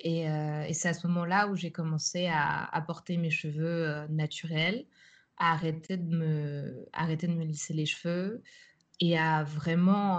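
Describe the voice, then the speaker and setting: A woman's fairly low voice, very slow in pace, with fairly even intonation. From France, Paris suburbs. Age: 20s. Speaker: art student and artist. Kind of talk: interview. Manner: halting, many hesitations.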